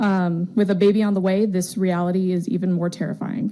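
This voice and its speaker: Her pace is fairly quick. The woman has an unremarkable speaking voice, pitched in the middle range. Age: 20s. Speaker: teacher giving public comment. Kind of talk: public comment at a school board meeting. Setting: public board meeting.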